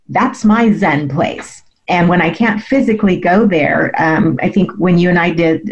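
Somewhat breathy, a woman speaks with lively intonation at a fairly low pitch. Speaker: MS advocate and health coach. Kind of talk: radio interview, conversational personal storytelling. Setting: radio show interview. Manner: conversational, reflective, with filler words.

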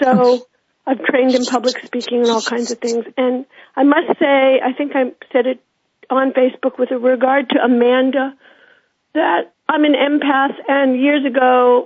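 A woman with an American accent speaks at a high pitch. Her pace is fairly slow and her intonation monotone and flat. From United States. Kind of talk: phone-in call.

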